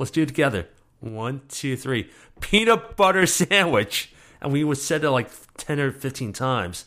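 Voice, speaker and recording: Bright and sharp in tone, a man speaks at a moderate pace with fairly high pitch and very wide pitch swings, on a very clean recording with a silent background. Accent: New York. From New York, the Bronx. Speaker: storyteller. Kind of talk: interview. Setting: interview in Brooklyn.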